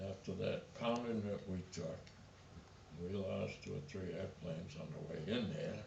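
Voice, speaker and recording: Noticeable background noise and audible room echo surround a man with a very deep, low voice. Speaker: war veteran. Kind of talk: testimony.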